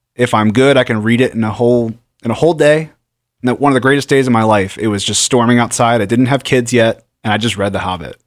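The recording is very clean, with a silent background. A man talks very fast at a medium pitch with fairly even intonation. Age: 30s. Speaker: radio host. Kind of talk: casual chat.

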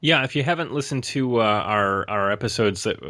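A man's ordinary speaking voice with an American accent, fairly low in pitch, at a fairly quick pace with ordinary pitch variation, in a very clean recording over a silent background. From Rochester, New York. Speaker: podcast co-host. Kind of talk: casual chat.

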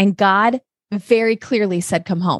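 A woman's normal speaking voice at medium pitch, fairly slow and fairly even in intonation, with a dry, close sound with no echo on a very clean recording with a silent background. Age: 30s. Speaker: ministry volunteer and podcast host. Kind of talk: casual interview.

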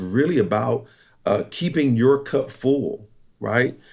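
With lively intonation and vocal fry, a man speaks at a medium pitch. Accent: American. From eastern North Carolina, US South. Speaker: corporate trainer and military veteran. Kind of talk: interview.

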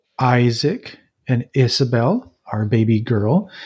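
Very slow, somewhat breathy speech from a man with a dark, mellow tone. The background is quiet. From central Mexico (Jalisco). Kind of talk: interview. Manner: halting, many fillers.

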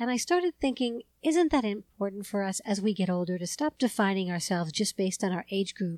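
A woman talks at a fairly quick pace at a medium pitch, in an unremarkable speaking voice. The recording is very clean with a silent background, and the sound is dry and close with no echo. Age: 50s. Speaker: podcast host. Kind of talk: interview.

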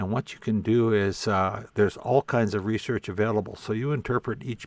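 On a very clean recording with a silent background, a man with a Canadian prairie accent talks at a moderate pace in a fairly low pitch with fairly even intonation. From southern Saskatchewan, Canada. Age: 60s. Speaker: Métis elder and historian. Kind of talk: interview conversation.

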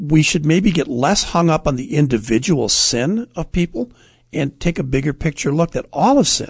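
Against a quiet background, a man speaks at a moderate pace with lively intonation and a somewhat breathy quality. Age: 60s. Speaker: radio host.

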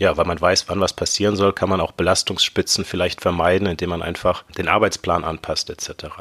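With a dry, close sound and no echo, a man talks at a fairly quick pace with hardly any pauses, his very deep, low voice monotone and flat. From Germany, Ruhr area (Bochum). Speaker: podcast co-host, health informatics academic. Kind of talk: casual explanatory chat.

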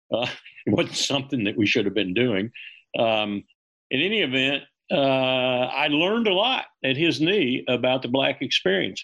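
Speaking with a Southern US accent, a man uses a medium pitch and lively intonation. His loudness stays very even at a moderate pace. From US South. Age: 70s. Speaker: retired army colonel. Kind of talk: interview.

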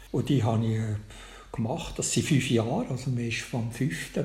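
Amid audible room echo, a man with a Bernese accent speaks at a moderate pace, his voice showing vocal fry. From Switzerland, Bernese Oberland near Lake Thun. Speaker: crime novelist, retired teacher. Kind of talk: interview.

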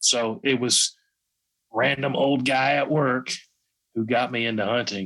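Speaking with a Southern US accent, a man of medium pitch keeps his intonation fairly even and his loudness very even, leaving long, frequent pauses. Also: fairly slow pace. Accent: Southern US, country. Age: 30s. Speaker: YouTube gun channel creator. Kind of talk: casual interview chat.

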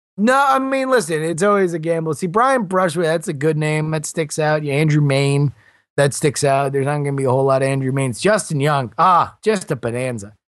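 Over a quiet background, a man with an American accent and an unremarkable speaking voice talks at a fairly quick pace. His pitch is fairly high and his intonation lively. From South Florida. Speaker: podcast host and blogger. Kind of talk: interview.

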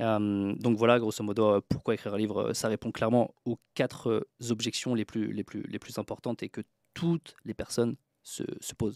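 Recorded very cleanly with a silent background and a dry, close sound with no echo, a man with a plain, everyday voice talks at a moderate pace at medium pitch with fairly even intonation. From France, Troyes (Aube). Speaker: author and book publisher. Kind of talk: podcast interview.

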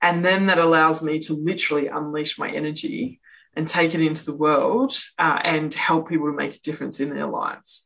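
A woman with an Australian accent, very deep and low in pitch, her intonation fairly even. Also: fairly quick pace. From Western Australia, Perth. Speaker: author and speaker. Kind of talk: interview.

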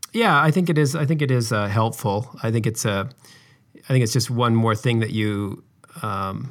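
A man speaks at a medium pitch and a moderate pace, with ordinary pitch variation. The recording is very clean, with a silent background. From Utah. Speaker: video game animator. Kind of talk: interview. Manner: halting, many fillers.

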